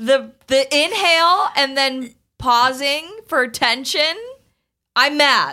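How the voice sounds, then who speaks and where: A raised, projected voice moves at a very slow pace with lively intonation and very even loudness, on a very clean recording with a silent background. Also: woman, high pitch for a woman. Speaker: podcast host. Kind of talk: casual chat.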